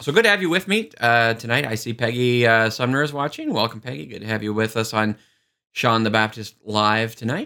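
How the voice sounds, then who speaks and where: On a very clean recording with a silent background, a man of medium pitch and a bright, sharp tone speaks at a moderate pace with ordinary pitch variation. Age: 40s. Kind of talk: live-streamed talk mixing teaching and chat.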